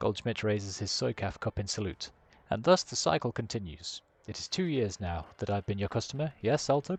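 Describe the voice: Here is plain reading aloud. Its intonation is lively.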